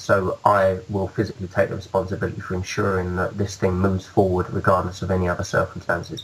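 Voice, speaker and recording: In a British accent, a man talks at a very fast pace with hardly any pauses, his very deep, low voice monotone and flat. Noticeable background noise runs underneath. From UK. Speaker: musician. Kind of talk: interview. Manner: halting.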